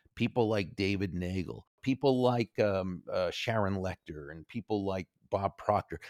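In a very clean recording with a silent background, a man speaks at a moderate pace. His very deep, low voice has ordinary pitch variation and a dry, close sound with no echo. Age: 60s. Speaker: author and speaker. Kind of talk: interview.

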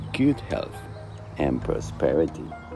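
A man talks at a very slow pace over music in the background. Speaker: host of a short daily quote recording.

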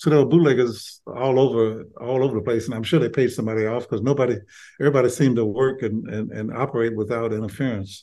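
A man with an Alabama accent at a very fast pace, medium in pitch, dark and mellow in tone, with fairly even intonation. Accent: Southern US (Alabama). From Birmingham, Alabama. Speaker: retired doctor and author. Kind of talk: interview about his memoir.

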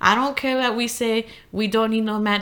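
A woman's normal speaking voice at a fairly high pitch, fairly quick pace, on a very clean recording with a silent background. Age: 20s. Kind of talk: casual chat.

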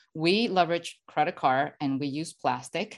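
Against a quiet background, a woman speaks in a very deep, low pitch with a Spanish accent. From Venezuela. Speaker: financial educator. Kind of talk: podcast interview. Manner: hesitant with fillers.

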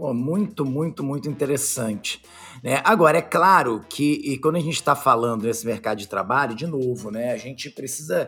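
A man with a bright, sharp tone and fairly high pitch speaks at a moderate pace with ordinary pitch variation. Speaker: podcast host. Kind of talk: casual chat.

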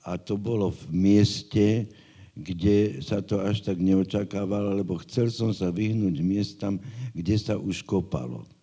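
The voice has a dark, mellow tone, a fairly slow pace and ordinary pitch variation. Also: man, fairly low pitch for a man. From Bratislava, Slovakia. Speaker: geomorphologist. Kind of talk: interview.

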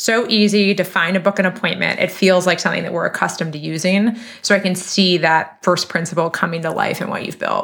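An ordinary speaking voice at a fairly quick pace, with hardly any pauses and fairly even intonation. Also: woman, medium pitch for a woman. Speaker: podcast host. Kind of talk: podcast interview.

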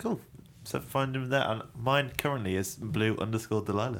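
The speaker is a man in an English accent. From England. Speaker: podcast co-host. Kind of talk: casual chat.

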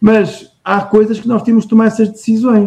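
A man with a high-pitched voice speaks in a dark, mellow tone. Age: 40s. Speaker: entrepreneur. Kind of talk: interview. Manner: halting.

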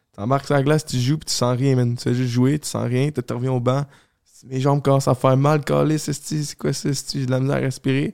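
In a dry, close sound with no echo, a man speaks at a fairly quick pace and medium pitch with monotone, flat intonation. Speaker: podcast co-host. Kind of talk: casual chat.

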